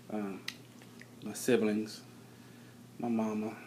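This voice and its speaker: A man talks quietly at a medium pitch. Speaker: married couple sharing their story. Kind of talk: testimony. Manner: halting.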